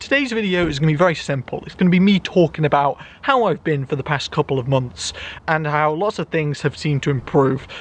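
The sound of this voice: The voice is loud, moving at a fairly quick pace with few pauses. Pitch varies in an ordinary way. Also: man, fairly high pitch for a man.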